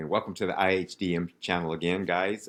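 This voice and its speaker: On a very clean recording with a silent background, a man speaks in a very deep, low pitch. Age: 60s. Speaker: motivational video host. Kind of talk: casual motivational monologue. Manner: casual, halting with many fillers.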